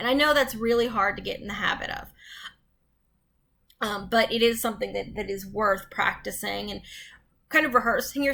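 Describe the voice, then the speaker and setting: A woman's voice, fairly high in pitch, has a bright, sharp tone with vocal fry. She talks at a moderate pace, and room echo is audible. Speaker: college instructor. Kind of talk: recorded lecture. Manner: halting, stumbling over words; conversational, frequent ums.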